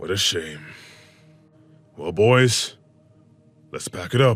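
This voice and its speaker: Over faint music in the background, a man uses a booming, put-on character voice pitched fairly low, moving at a fairly slow pace. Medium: read story. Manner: commanding, sly.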